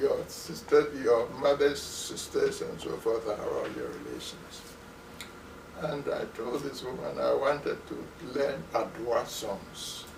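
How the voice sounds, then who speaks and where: Noticeable background noise sits behind a man with a Ghanaian accent who speaks at a very slow pace. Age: 90s. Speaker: retired musicologist professor. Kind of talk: interview answer.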